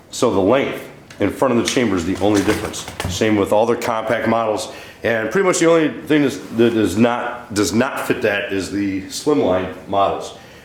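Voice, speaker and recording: The speaker's pitch varies in an ordinary way, with noticeable background noise behind. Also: man, medium pitch for a man, moderate pace. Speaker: firearms reviewer. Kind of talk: casual product review to camera.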